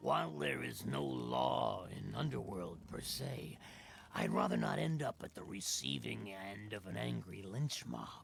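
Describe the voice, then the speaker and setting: A man puts on a character voice. It sits at a very deep, low pitch and moves at a moderate pace. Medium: video game. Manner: smooth, oily, scheming.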